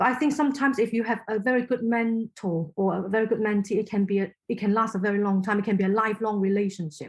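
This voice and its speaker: A woman with a Cantonese accent talks at a very fast pace with hardly any pauses, her fairly high, somewhat breathy voice holding a very even loudness. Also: ordinary pitch variation. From Hong Kong. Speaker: inclusion consultant. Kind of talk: podcast interview. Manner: halting.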